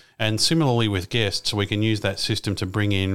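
Speaking at a fairly quick pace, a man with an Australian accent uses a fairly low pitch on a very clean recording with a silent background. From Australia, Melbourne. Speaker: aviation podcaster and pilot. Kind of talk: interview.

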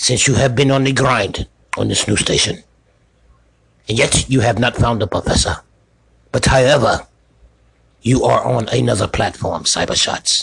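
A man uses a put-on character voice, raspy and medium in pitch. He keeps a moderate pace and very even loudness, with long, frequent pauses. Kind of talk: comic overacting. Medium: comedy sketch. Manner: stern, pompous, clipped pronouncements with "you must".

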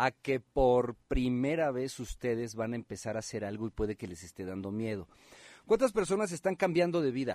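Speaking at a moderate pace, a man swings his pitch very widely in a very clean recording with a silent background and a dry, close sound with no echo. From Guerrero, Mexico. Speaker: radio host. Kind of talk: live talk radio. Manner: animated.

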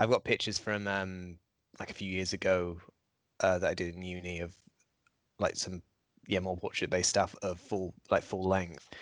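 Flat, monotone intonation runs through the speech, broken by long, frequent pauses over a quiet background. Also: man, very deep, low pitch for a man, moderate pace. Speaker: podcast co-host, film photographer. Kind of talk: casual chat.

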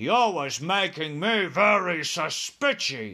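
Slow and bellowing, this put-on character voice has a bright, sharp tone with a slightly husky edge. It makes big pitch swings. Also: man, fairly high pitch for a man.

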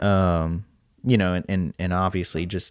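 Over a silent background in a very clean recording, a man with a very deep, low pitch is heard in a dry, close sound with no echo. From Louisiana, Lake Charles. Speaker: podcast host. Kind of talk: casual interview chat.

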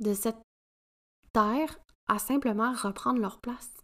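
A woman's fairly high voice with a Quebec accent, ordinary pitch variation and a very slow pace. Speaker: podcast host, women's coach. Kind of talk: solo podcast monologue.

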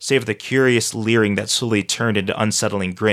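Someone reads in a natural voice, with intonation that stays fairly flat.

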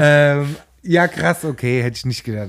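On a very clean recording with a silent background, a man talks at a fairly slow pace. His intonation is lively. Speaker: podcast co-host, quiz contestant. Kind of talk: casual chat. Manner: animated.

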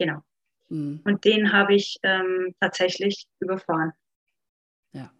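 A woman with an Upper Franconian accent at medium pitch, very slow with long, frequent pauses, fairly even intonation, big swings in loudness, and a dry, close sound with no echo. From Upper Franconia, Bavaria. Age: 30s. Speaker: life coach. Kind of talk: personal testimony in podcast interview.

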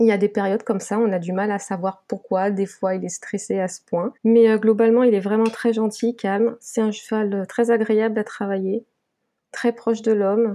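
A woman speaks with fairly high pitch and a dark, mellow tone. Her intonation stays monotone and flat. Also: moderate pace. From Guadeloupe. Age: 20s. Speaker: graphic designer and mounted gendarmerie reservist. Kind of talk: interview.

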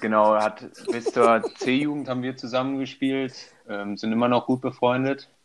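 A man speaks in an ordinary speaking voice at a medium pitch and moderate pace, with fairly even intonation. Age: 20s. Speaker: handball player and student. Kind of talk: casual interview. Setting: remote call.

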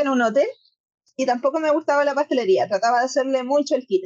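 A woman speaks in a Chilean accent at a fairly quick pace. Her pitch is high, with ordinary pitch variation. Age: 30s. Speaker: pastry business owner and table tennis player. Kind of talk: interview.

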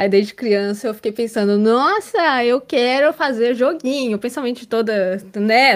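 A woman's unremarkable speaking voice at a fairly slow pace with ordinary pitch variation, on a very clean recording with a silent background. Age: 20s. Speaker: data scientist and streamer. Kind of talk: casual panel discussion.

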